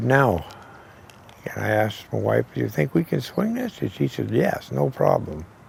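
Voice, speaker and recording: Noticeable background noise is audible. A man talks over it at a fairly slow pace. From New Hampshire, US (Keene). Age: 60s. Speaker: retired machine company worker. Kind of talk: interview, personal storytelling. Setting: outdoors, in a driveway.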